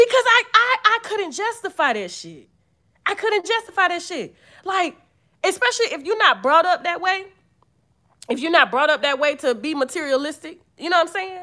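Her raised, projected voice sits at an extremely high pitch, with a bright, sharp, animated tone and very wide pitch swings. The woman keeps a moderate pace while her loudness swings widely. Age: 30s. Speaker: vlogger. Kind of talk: casual monologue.

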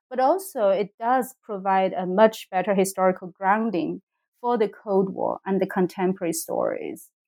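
Recorded in a dry, close sound with no echo, a woman speaks at a medium pitch. She keeps a moderate pace with ordinary pitch variation. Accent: Chinese. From China, Sichuan. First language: Mandarin Chinese. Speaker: literature professor. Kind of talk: academic interview.

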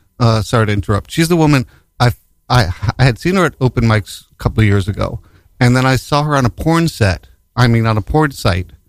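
Over a dry, close sound with no echo, a man speaks at a very fast pace in a medium-pitched voice with lively intonation and very even loudness. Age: 50s. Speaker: radio co-host. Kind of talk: casual banter, adult comedy chat. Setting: radio studio. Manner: joking, playful.

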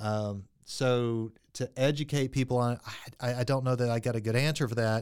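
A man with a Texan accent talks at a moderate pace and with fairly even intonation. The recording is very clean, its background silent. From Texas (Friendswood, Houston area). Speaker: interventional radiologist. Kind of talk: interview conversation. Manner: hesitant, many fillers and repeats.

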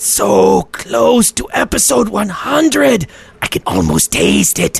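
Very slow speech comes from a man. He uses a put-on character voice, medium in pitch. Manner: exaggerated cartoon delivery.

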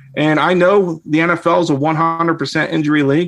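Against a quiet background, a man with an unremarkable speaking voice talks at a fairly high pitch with fairly even intonation. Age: 40s. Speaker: NFL analyst. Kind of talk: casual chat.

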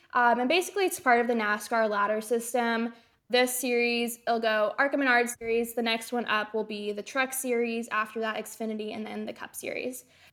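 A woman with an unremarkable speaking voice talks at a fairly quick pace with hardly any pauses, her fairly high pitch held to fairly even intonation. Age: 20s. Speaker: race car driver. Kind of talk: interview.

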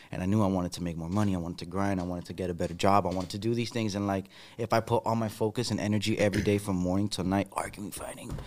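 The delivery runs at a very fast pace with fairly even intonation. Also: man. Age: 20s. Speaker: podcast guest. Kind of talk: casual chat.

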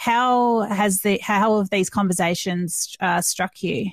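Fairly even intonation from a woman with an Australian accent, dry and close with no echo, against a quiet background. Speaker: podcast host. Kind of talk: interview.

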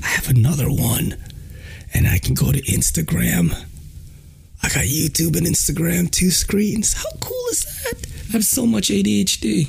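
Over light background noise, a man puts on a raspy character voice and speaks at a moderate pace. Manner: excited, enthusiastic.

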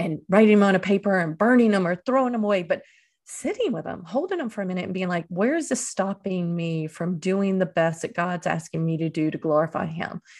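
In an Eastern North Carolina accent, the speaker goes at a fairly quick pace with lively intonation over a quiet background. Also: woman. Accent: Southern US (Eastern North Carolina). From Eastern North Carolina, US South. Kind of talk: interview.

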